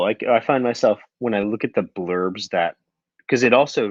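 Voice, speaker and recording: Mumbling, a man talks at a medium pitch and a moderate pace. His pitch varies in an ordinary way. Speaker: podcast co-host. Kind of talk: casual chat. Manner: halting.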